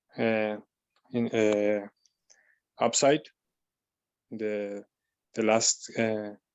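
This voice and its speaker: A very slow delivery in a non-native accent, with long, frequent pauses. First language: not English. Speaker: webinar participant. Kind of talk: question in webinar. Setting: online webinar. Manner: halting, many hesitations.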